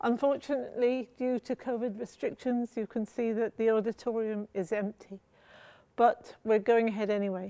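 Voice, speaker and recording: A woman with a fairly high pitch and a dark, mellow tone, moderate pace and fairly even intonation, in a dry, close sound with no echo against a quiet background. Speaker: poet. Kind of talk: poetry reading introduction.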